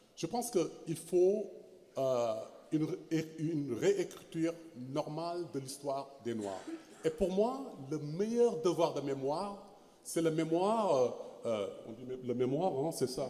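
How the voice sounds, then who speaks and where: Lively intonation comes at a very slow pace, broken by long, frequent pauses, against noticeable background noise. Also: man, fairly high pitch for a man. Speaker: historian. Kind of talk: panel discussion. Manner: halting, many repetitions.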